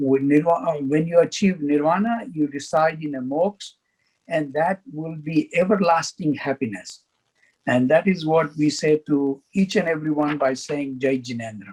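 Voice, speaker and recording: A man with a fairly high pitch and ordinary pitch variation. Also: moderate pace. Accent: Gujarati. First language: Gujarati. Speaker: faith community speaker. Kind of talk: educational presentation.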